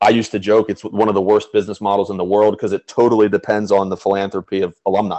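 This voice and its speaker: Talking at a very fast pace with hardly any pauses, a man with an American accent uses a fairly low pitch, a dark, mellow tone and monotone, flat intonation. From Pennsylvania, Chambersburg. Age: 20s. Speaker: school alumnus, golfer and philanthropist. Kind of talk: interview, casual chat. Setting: video call.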